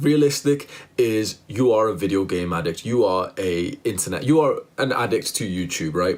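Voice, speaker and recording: A man talks with vocal fry. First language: not English. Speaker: self-improvement youtuber. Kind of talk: motivational monologue. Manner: animated.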